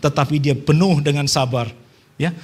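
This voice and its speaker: Talking at a fairly quick pace, a man has a somewhat breathy voice. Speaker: preacher. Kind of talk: sermon. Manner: soft-spoken.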